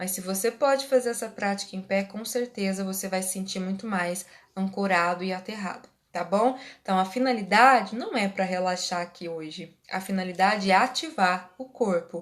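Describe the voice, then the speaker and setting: With a plain, everyday voice, a woman talks at a moderate pace and medium pitch, with ordinary pitch variation and big swings in loudness. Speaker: Reiki teacher and therapist. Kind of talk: live online class. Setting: livestream.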